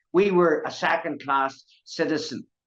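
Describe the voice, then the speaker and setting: A Northern Irish accent at a moderate pace. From Northern Ireland. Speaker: activist speaking on Irish sovereignty. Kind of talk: impassioned interview talk. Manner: animated.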